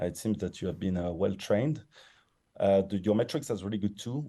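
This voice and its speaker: Here a man speaks with a strong French accent. His pitch is fairly low. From France. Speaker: investor jury member giving pitch feedback. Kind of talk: pitch feedback on a panel.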